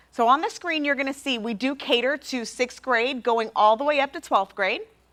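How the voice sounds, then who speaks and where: The speaker has an American accent. Pitch varies in an ordinary way. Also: woman, high pitch for a woman. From New York. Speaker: publisher sales representative. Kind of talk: sales presentation. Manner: fast.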